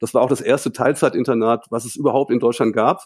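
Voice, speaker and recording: In a dry, close sound with no echo, a man speaks at a very fast pace. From northern Germany, Hildesheim. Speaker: volleyball coach. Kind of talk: casual interview. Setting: remote call from home.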